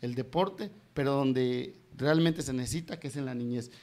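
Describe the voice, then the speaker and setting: A man speaks at a fairly quick pace, his pitch fairly high, with ordinary pitch variation. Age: 40s. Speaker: political candidate; candidate. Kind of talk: interview. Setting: live stream studio. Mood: earnest, persuasive campaign talk. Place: home room. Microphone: handheld.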